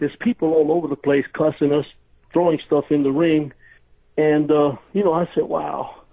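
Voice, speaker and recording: A man with a New York accent and a fairly high pitch talks at a fairly quick pace, his loudness very even throughout. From New York, Brooklyn. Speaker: retired pro wrestler. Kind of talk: interview storytelling. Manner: animated, casual.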